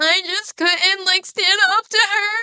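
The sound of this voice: This is a put-on character voice at an extremely high pitch. It sounds whiny, with a whiny tone.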